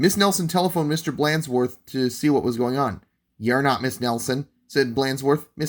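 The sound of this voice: Over a quiet background, the pitch of an unforced reading voice varies in an ordinary way.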